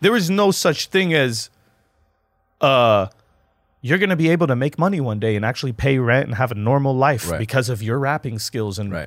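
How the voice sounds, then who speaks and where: Very wide pitch swings at a fairly quick pace, with an American accent. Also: man, medium pitch for a man. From Lebanon, after early childhood in US. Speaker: battle rapper. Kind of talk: casual chat. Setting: studio.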